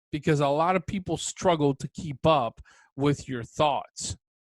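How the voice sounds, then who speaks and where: A man's fairly slow speech in a dry, close sound with no echo. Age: 40s. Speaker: podcast host. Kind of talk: solo podcast monologue. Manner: deliberately slowed, careful enunciation.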